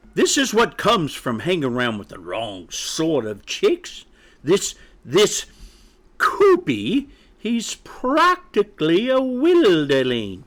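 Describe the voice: A man puts on a character voice, pitched fairly high, with a fairly bright tone, very wide pitch swings and a slow pace.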